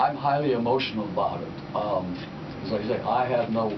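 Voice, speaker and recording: Medium-pitched male speech at a moderate pace, with audible room echo and noticeable background noise. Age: 80s+. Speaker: war veteran. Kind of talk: radio interview. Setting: studio.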